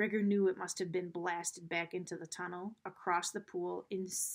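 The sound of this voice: Intonation stays fairly even as the speaker reads in an unforced reading voice.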